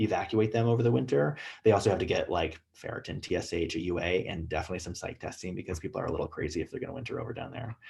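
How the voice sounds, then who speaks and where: A man talks at a very fast pace in a somewhat breathy voice with ordinary pitch variation. The background is quiet. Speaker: emergency physician. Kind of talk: lecture. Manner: casual, filler-heavy.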